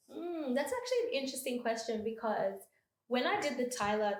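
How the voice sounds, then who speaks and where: A speaker in an Australian accent talks at a fairly quick pace with ordinary pitch variation. Audible room echo surrounds the voice. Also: woman. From Melbourne, Australia. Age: 20s. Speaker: freelance host and creative. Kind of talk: podcast interview. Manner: hesitant, many fillers.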